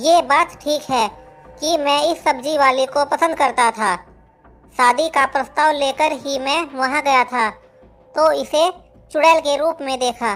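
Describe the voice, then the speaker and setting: Over faint music in the background, a woman uses a cartoonish character voice at a moderate pace. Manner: boastful, comic.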